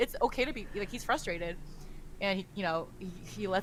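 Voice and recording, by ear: A text is read aloud in a natural voice.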